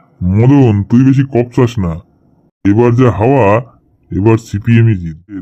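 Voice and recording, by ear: Putting on a cartoonish character voice, a man speaks at a medium pitch and a moderate pace. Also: ordinary pitch variation.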